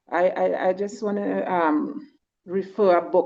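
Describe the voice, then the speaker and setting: A woman with a fairly low pitch and a dark, mellow tone speaks with lively intonation. Vocal fry shows up in her voice. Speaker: community member commenting. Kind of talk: casual chat. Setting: video call. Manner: halting.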